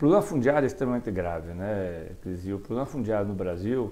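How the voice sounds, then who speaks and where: Using very wide pitch swings, a man speaks in a dark, mellow tone. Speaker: state legislator, politician. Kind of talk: casual interview. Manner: informal, chatty, joking. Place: studio. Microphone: lapel.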